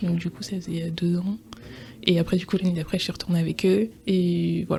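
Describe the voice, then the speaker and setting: Speaking at a fairly quick pace, a woman has a fairly low pitch, a dark, mellow tone, a somewhat breathy quality and monotone, flat intonation. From France, Alsace (Strasbourg). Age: 20s. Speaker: interview guest, pharmaceutical development officer. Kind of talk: podcast interview testimony. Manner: hesitant, many fillers (euh).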